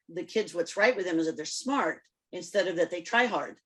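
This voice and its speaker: A woman is talking. Her words come with a Spanish accent. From Cuba. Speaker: psychologist and podcast co-host. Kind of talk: podcast interview.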